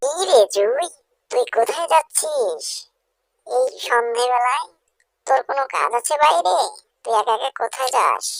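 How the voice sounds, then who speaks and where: A woman's cartoonish character voice, high in pitch and moderate in pace. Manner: contemptuous.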